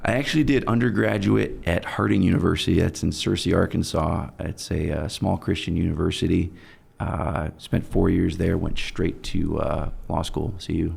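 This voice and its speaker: A man's very deep, low pitch with very wide pitch swings and vocal fry, in a General American accent at a moderate pace. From Germany, then Colorado Springs from about age 9-12. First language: German. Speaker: personal injury attorney. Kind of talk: interview. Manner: casual, many fillers.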